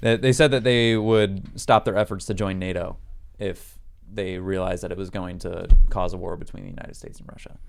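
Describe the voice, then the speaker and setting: Over music in the background, a man with a fairly low pitch talks at a fairly quick pace, his intonation fairly even but his loudness swinging widely. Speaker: ROTC cadet. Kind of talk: casual chat. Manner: halting.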